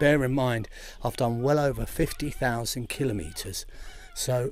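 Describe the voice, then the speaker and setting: This man's voice sits fairly high for a man, and the room echo is audible. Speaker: travel vlogger exploring temples. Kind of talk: travel vlog narration. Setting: outdoors at a temple. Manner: lowered voice.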